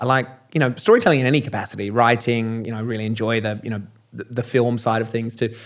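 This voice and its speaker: A man with an Australian accent talks at a very fast pace and medium pitch in a monotone, flat way, on a very clean recording with a silent background. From Australia and England. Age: 40s. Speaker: keynote speaker and entrepreneur. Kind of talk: casual interview. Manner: halting, many fillers.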